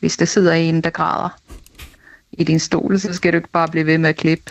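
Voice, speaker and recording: A woman talks at a fairly low pitch and a moderate pace. Her intonation is monotone and flat. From Denmark, Næstved. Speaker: listener. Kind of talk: testimony.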